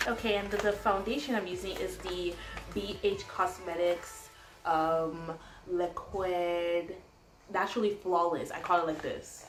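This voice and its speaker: In a room with audible echo and noticeable background noise, a woman speaks at a fairly slow pace with a medium pitch and fairly even intonation. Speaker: beauty vlogger. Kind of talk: tutorial. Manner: casual, chatty.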